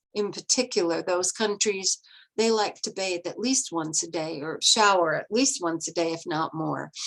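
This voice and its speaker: Over a quiet background, a woman talks at a medium pitch in an ordinary speaking voice with ordinary pitch variation. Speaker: restorative justice facilitator and trainer. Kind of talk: lecture.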